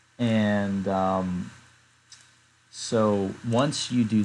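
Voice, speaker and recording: A man speaks in an ordinary speaking voice at a fairly low pitch. His pitch varies in an ordinary way. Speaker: spreadsheet tool creator, tutorial maker. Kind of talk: screen-recorded software tutorial. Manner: casual, many fillers.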